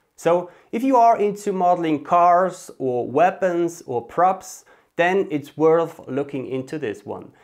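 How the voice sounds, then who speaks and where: A man's lively intonation over a quiet background. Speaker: 3D artist youtuber. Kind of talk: casual vlog intro to a tutorial series. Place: home room. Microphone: lapel.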